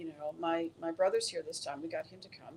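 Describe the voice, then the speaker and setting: This woman talks at a moderate pace. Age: 60s. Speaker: retreat participant. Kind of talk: interview. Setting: live video stream.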